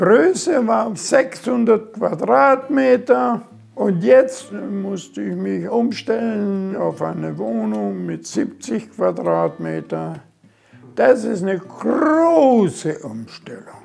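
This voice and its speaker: A man at a very slow pace with big swings in loudness. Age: 80s+. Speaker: retiree. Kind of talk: casual home tour talk.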